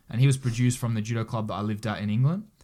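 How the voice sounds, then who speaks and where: The voice has a dark, mellow tone and ordinary pitch variation, and it moves at a very fast pace. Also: man. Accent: Australian. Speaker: Olympic judo athlete. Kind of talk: casual interview chat.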